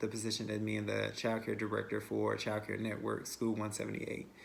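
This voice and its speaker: The speaker is a man. Room echo is audible around his voice. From western North Carolina, Asheville. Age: 20s. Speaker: childcare director. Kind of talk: self-introduction video. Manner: hesitant, many fillers and repetitions.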